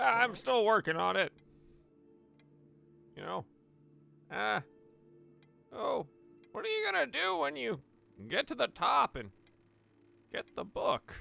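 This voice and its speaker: A man puts on a character voice at a fairly slow pace, with long, frequent pauses and faint music in the background. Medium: actual play. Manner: hesitant, rambling, friendly.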